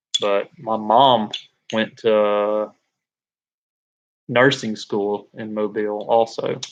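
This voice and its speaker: A man talks at a very slow pace with long, frequent pauses. His fairly low voice stays monotone and flat. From Alabama, Birmingham. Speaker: livestreamer, tradesman. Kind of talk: casual live stream chat. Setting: live stream on camera.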